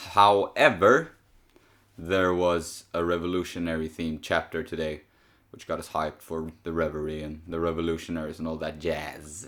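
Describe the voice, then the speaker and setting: A man talks in a very deep, low voice with monotone, flat intonation and big swings in loudness. The recording is very clean, with a silent background. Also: moderate pace. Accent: Swedish. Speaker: podcast host discussing manga chapters.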